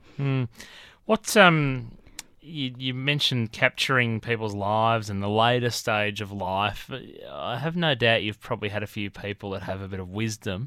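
Speaking with an Australian accent, a man has a bright, sharp tone at a medium pitch. He keeps a moderate pace with ordinary pitch variation. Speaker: radio host. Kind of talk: interview. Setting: studio.

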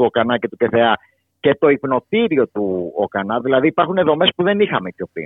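A man's normal speaking voice, medium in pitch, at a moderate pace. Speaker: harm reduction worker. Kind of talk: radio interview.

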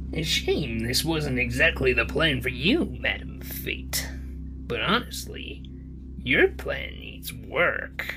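This put-on character voice moves at a fairly slow pace. Loud music plays in the background. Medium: actual play. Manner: cackling, sly.

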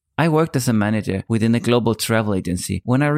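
On a very clean recording with a silent background and a dry, close sound with no echo, a man with a Danish accent and a medium pitch talks at a very fast pace with lively intonation. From Denmark. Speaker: podcast host. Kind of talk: monologue.

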